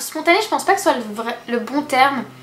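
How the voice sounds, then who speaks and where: A soft-spoken woman with lively intonation over noticeable background noise. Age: 20s. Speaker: beauty and lifestyle youtuber. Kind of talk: casual vlog talking to camera. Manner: hesitant, many fillers.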